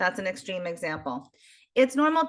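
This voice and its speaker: A woman with an American accent has a plain, everyday voice at a medium pitch. She speaks at a moderate pace against a quiet background. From US, Baltimore, Maryland. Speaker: geriatric social worker. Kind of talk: interview.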